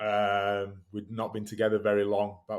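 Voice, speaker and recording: A man speaks with a Yorkshire accent. His pace is moderate. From northern England, West Yorkshire (Batley). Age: 30s. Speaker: rugby league player and fitness coach. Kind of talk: casual interview. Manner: halting, many false starts.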